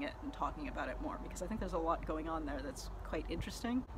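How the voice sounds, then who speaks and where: A woman at a very fast pace, amid noticeable background noise. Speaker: book reviewer. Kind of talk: casual talk to camera. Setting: outdoors. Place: street. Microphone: lapel.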